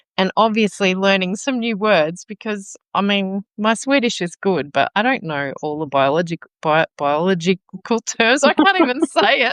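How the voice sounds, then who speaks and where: A woman with an Australian accent speaks at a moderate pace and medium pitch, with very wide pitch swings. The background is quiet and the sound is dry and close with no echo. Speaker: teacher. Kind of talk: casual chat. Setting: live video stream.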